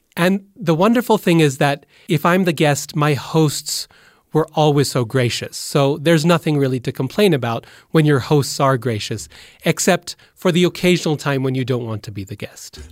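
A man with an American accent speaks at a moderate pace, his voice an unremarkable speaking voice, fairly high in pitch and lively in intonation. The recording is very clean with a silent background and a dry, close sound with no echo. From Boise, Idaho, US. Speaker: professor of religion. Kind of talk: interview.

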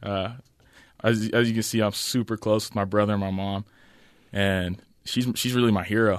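Against a quiet background, a man with an American accent speaks at a moderate pace in a fairly low pitch, with monotone, flat intonation and long, frequent pauses. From Utah. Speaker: college basketball player. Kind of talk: interview.

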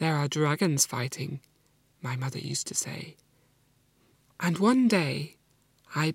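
With long, frequent pauses, a woman speaks fairly slowly in a very deep, low, somewhat breathy voice, her intonation lively and the sound dry and close with no echo. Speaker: storyteller. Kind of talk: storytelling.

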